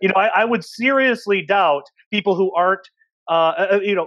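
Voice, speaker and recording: A man at a moderate pace, with dry sound with no echo and a quiet background. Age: 30s. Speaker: podcast host and researcher. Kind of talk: casual panel discussion. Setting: video call. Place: home room. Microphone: earbuds.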